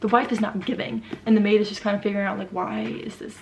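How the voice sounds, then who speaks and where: A woman's medium-pitched, very fast speech with fairly even intonation over noticeable background noise. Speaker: book youtuber. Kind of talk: casual book review vlog. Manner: casual, filler-heavy (like).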